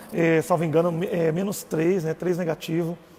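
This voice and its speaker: A man talks at a moderate tempo. Behind him, background noise is noticeable. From Brazil, Goiás. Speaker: religious live streamer. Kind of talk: personal testimony live stream. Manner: casual.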